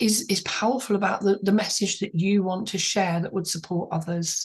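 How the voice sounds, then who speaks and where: A woman speaks in a somewhat breathy voice at a medium pitch. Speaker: author mentor and channel host. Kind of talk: interview.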